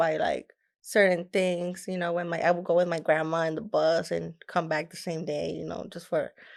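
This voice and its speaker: The speaker talks at a fairly quick pace with a Mexican accent. The recording is very clean, with a silent background. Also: woman. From Mexico, Nuevo Laredo. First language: Spanish. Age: young. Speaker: rapper. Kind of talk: casual interview.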